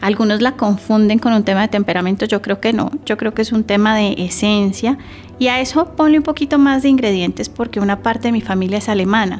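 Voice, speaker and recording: Through noticeable background noise, a woman talks at a fairly quick pace and a fairly high pitch, with ordinary pitch variation and very even loudness. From Colombia, Santander. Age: 40s. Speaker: communication expert. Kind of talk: podcast interview.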